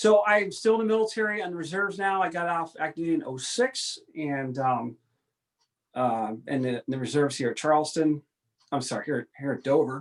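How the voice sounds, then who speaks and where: A man with an ordinary speaking voice talks at a fairly quick pace, his fairly high pitch carrying lively intonation. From upstate New York (far north). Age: 40s. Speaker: airline pilot and military reserve officer. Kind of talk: casual interview.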